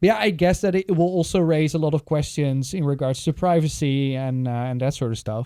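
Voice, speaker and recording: With a Dutch accent and a dark, mellow tone, a man talks at a fairly high pitch and a fairly quick pace, with ordinary pitch variation and hardly any pauses. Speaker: podcast host. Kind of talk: casual chat.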